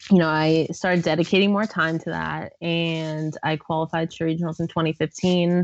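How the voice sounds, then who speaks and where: A woman with a fairly low pitch talks at a moderate pace in an unremarkable speaking voice. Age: 20s. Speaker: CrossFit athlete and coach. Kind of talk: casual chat.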